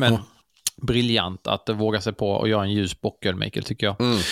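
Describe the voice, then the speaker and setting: A man speaks with a fairly low pitch and monotone, flat intonation. The sound is dry and close, with no echo. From Karlshamn, southern Sweden (Blekinge). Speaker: beer podcast host. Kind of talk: casual beer tasting chat.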